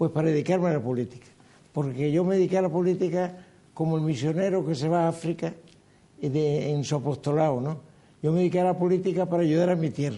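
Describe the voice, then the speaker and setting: Speaking at a very fast pace, a man with a Canarian accent has a fairly high pitch, a dark, mellow tone and ordinary pitch variation. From Canary Islands. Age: 80s. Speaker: former politician. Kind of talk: interview.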